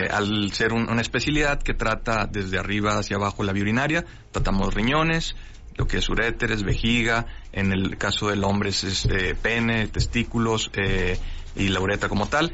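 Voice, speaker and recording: A man with a fairly low pitch talks at a moderate pace with ordinary pitch variation and very even loudness, with audible room echo. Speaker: urologist surgeon. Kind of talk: radio interview. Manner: halting.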